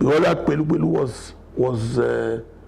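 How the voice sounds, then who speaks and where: A man speaks very slowly with a Nigerian accent. Noticeable background noise runs under his voice. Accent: Nigerian (Yoruba) English. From Nigeria, Ekiti State (Yoruba). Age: 70s. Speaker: elder telling life story. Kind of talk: biographical interview. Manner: halting, with fillers.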